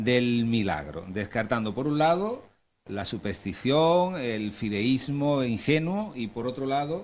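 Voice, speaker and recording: A man speaks at a fairly slow pace with a strong Málaga accent and lively intonation. The recording is very clean, with a silent background. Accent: Málaga Andalusian accent, strong. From Andalusia, Alhama de Granada. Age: 40s. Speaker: panel moderator. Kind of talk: panel moderation and introductions.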